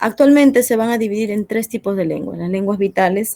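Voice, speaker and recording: A woman with a dark, mellow tone speaks at a fairly quick pace. Her pitch varies in an ordinary way, and the sound is dry and close with no echo. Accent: Andean. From Peru, central jungle (Satipo), Andean parents. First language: Quechua (speaking Spanish). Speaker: teacher. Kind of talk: classroom lesson. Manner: hesitant, many fillers.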